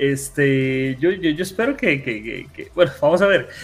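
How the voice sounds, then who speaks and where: A man with a plain, everyday voice, fairly high in pitch, at a moderate pace. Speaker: gaming content creator. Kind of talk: casual chat.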